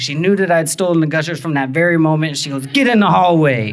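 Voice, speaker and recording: The speaker has an American accent and lively intonation at a fairly quick pace. There is noticeable background noise. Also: man. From Texas. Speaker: storyteller and improv teacher. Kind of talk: live personal storytelling performance. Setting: live stage. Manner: casual, conversational with fillers.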